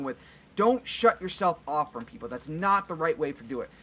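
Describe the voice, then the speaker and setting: A man speaks at a fairly high pitch with lively intonation and a fairly quick pace. Light background noise sits behind him. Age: 20s. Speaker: gaming youtuber; gaming video creator. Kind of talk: let's play commentary. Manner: halting. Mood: earnest, reflective.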